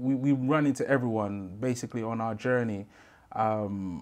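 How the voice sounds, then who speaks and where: This man speaks with a London accent. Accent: London Multicultural English. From London, Brixton. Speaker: rapper in a pop group; podcast guest. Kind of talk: interview. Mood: relaxed, reflective. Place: studio.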